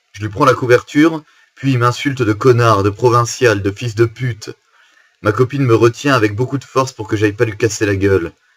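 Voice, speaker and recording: A somewhat breathy man's voice of medium pitch, with fairly even intonation at a moderate pace. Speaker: musician. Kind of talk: casual talk to camera. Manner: storytelling, informal.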